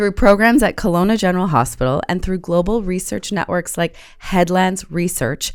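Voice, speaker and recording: With hardly any pauses, a woman uses a normal speaking voice at a medium pitch and a moderate pace, with ordinary pitch variation. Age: 50s. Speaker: podcast host. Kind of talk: podcast interview. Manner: scripted intro read.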